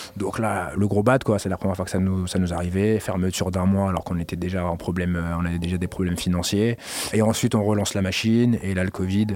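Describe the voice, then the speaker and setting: There is noticeable background noise as a man talks at a very fast pace. His very deep, low voice stays monotone with flat intonation. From Paris suburbs, Garges-lès-Gonesse. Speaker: club and party organizer. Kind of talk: casual interview.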